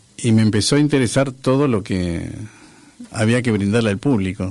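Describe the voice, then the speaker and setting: A man talks at a moderate pace in a fairly low pitch with ordinary pitch variation. Noticeable background noise runs underneath. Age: 60s. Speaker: former public theatre manager and musician. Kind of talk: radio interview. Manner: halting, many fillers and repetitions.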